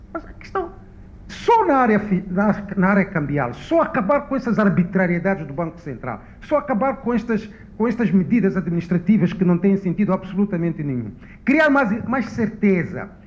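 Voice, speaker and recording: A man's high voice moves at a moderate pace, its intonation lively, as noticeable background noise plays underneath. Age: 60s. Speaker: economist panelist. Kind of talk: panel discussion. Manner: halting.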